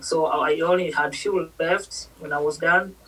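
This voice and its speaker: There is noticeable background noise as a woman talks with ordinary pitch variation. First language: not English. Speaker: nurse. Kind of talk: interview.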